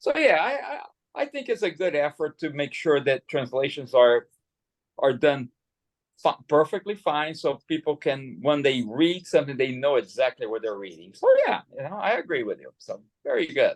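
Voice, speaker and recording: In dry, close sound with no echo, a man with a Portuguese accent talks at a moderate pace, with big swings in loudness. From Brazil. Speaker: English conversation tutor. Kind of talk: casual conversation practice. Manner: halting, many repetitions.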